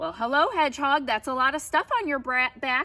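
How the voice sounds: A woman uses a put-on, croaky character voice pitched high. She speaks at a moderate pace.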